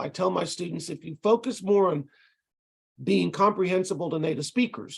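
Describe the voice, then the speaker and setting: With a Texas accent, a man talks at a moderate pace with ordinary pitch variation. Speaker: ESL college instructor. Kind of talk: lecture. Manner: casual, with frequent hesitations.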